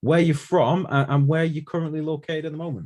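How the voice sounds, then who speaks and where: A man with a Manchester accent talks at a fairly quick pace in a somewhat breathy voice. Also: very clean recording, silent background. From Manchester, England. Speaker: podcast host. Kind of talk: casual interview.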